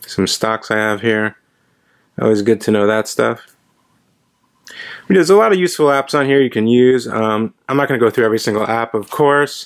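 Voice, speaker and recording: Pausing long and often, a man speaks at a medium pitch with ordinary pitch variation. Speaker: watch reviewer. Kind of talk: product review. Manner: fast; casual.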